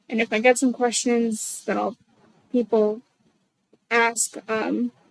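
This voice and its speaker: A woman with a fairly high pitch speaks very slowly in a monotone, flat intonation. The sound is dry and close with no echo. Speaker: game developer streamer. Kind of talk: live stream commentary. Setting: livestream via Discord. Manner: halting, stuttering.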